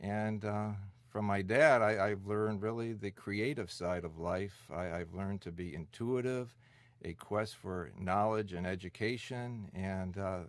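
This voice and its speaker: In a very clean recording with a silent background, a man with a Midwestern American accent speaks fairly slowly in a fairly low voice with ordinary pitch variation. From US Midwest (Detroit). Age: 50s. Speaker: senior center director. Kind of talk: oral history interview.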